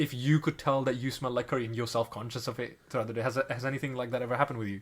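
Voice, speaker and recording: A man speaks at a very fast pace in a medium pitch with fairly even intonation. His voice is somewhat breathy on a very clean recording with a silent background. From South Asia. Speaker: podcast co-host. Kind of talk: casual chat.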